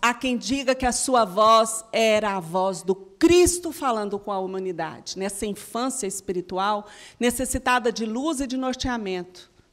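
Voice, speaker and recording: Her voice fairly high, a woman speaks very slowly with lively intonation. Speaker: spiritist lecturer. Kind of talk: lecture.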